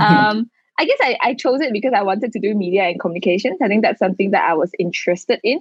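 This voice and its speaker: At a very fast pace and with very even loudness, a woman with a Malaysian accent talks in a fairly high pitch and lively intonation. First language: Mandarin. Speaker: digital marketer and founder. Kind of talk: casual chat.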